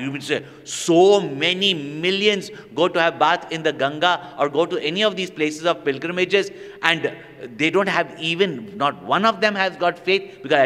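Lively intonation runs through this man's speech. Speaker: spiritual teacher. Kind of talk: religious discourse to an audience. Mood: animated, with humor. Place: hall. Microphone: studio mic.

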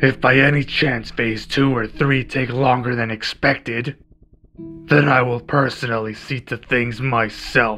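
A man talks at a medium pitch and moderate pace with fairly even intonation. Faint music plays in the background. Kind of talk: ASMR roleplay. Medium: audio drama. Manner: cold, menacing, contemptuous.

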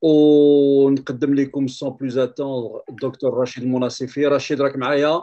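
Speaking with a Moroccan accent at a moderate pace, the voice stays flat and monotone with hardly any pauses. The background is quiet. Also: man. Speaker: talk show host. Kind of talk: interview discussion. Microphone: video call.

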